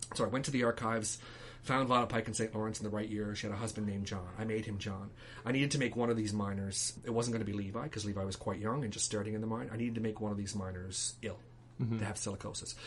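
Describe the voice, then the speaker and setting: A man's very fast speech, fairly low in pitch with fairly even intonation, over noticeable background noise. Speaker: playwright. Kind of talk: interview answer.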